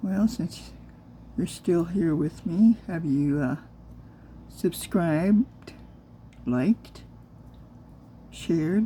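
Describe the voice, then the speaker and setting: Soft-spoken and very slow, a woman with a fairly low voice makes very wide pitch swings. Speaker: crafter and new video creator. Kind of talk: casual craft tutorial.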